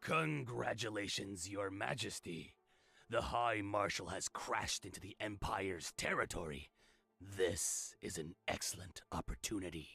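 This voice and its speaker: A put-on character voice from a man, raspy and fairly low-pitched, at a moderate pace. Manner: gruff, rough.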